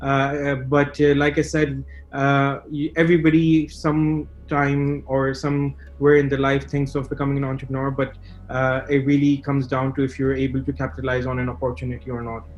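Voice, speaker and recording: Speaking at a fairly quick pace, a man holds a monotone, flat intonation at a fairly high pitch. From Dubai, UAE (Pakistani family). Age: 20s. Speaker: young entrepreneur, student. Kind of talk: interview. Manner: halting, many fillers.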